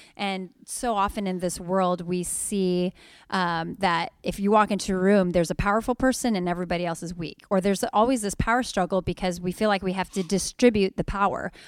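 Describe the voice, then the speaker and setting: A woman talks at a fairly quick pace with medium pitch, fairly even intonation and an ordinary speaking voice. The sound is dry and close with no echo, and the recording is very clean with a silent background. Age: 30s. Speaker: podcast co-host and pastor. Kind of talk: casual chat.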